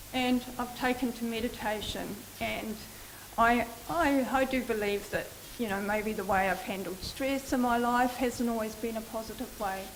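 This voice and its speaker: A woman speaks at a moderate pace with a fairly high pitch and fairly even intonation. The room echo is audible, and background noise is noticeable. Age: 60s. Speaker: melanoma patient and social worker. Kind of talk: personal testimony talk. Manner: halting, many fillers.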